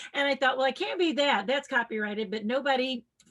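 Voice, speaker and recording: Lively intonation runs through this woman's speech. She talks in a Tennessee accent. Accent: Southern US (Tennessee). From US South, rural West Tennessee. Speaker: children's science educator and entertainer. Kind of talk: podcast interview, personal storytelling. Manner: animated.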